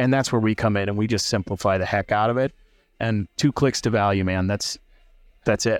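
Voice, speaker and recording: A man with an ordinary speaking voice and an American accent talks at a fairly quick pace in a fairly low pitch with fairly even intonation, in a very clean recording with a silent background and a dry, close sound with no echo. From US Midwest, central Illinois. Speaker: startup founder, former HR leader. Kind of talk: casual interview over beers. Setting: bar.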